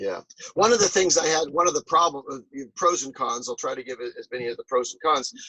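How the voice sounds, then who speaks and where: In a dry, close recording with no echo, a man with a plain, everyday voice talks at a fairly quick pace, his pitch fairly high, his intonation lively and his loudness swinging widely. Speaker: professional charity auctioneer and fundraiser. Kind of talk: interview answer. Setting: video call over Zoom from a boat.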